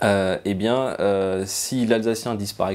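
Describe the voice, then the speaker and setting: A man speaks with fairly low pitch and fairly even intonation. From France, Alsace (Strasbourg area). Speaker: museum cultural mediator and translator. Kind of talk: interview testimony. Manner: hesitant, many fillers.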